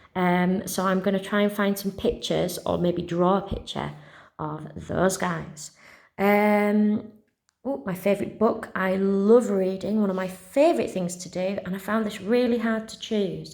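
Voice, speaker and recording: Speaking with a West Yorkshire accent, a woman keeps a fairly slow pace. Her intonation is fairly even. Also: medium pitch for a woman. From West Yorkshire, England. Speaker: primary school teacher. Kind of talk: casual talk to pupils. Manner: friendly, chatty.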